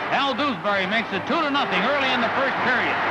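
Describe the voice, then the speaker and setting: The speaker goes at a fairly quick pace against loud background noise. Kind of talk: newsreel sports narration. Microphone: old recording.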